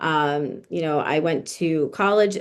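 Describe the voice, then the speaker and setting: A woman speaks with an American accent at a fairly low pitch. The background is quiet. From New Jersey, US. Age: 30s. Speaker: estate planning lawyer. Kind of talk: interview conversation.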